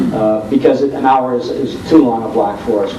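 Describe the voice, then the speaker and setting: Noticeable background noise runs under a man's voice. He speaks at a moderate pace with ordinary pitch variation. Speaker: old-time radio host. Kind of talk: panel discussion talk about radio broadcasting.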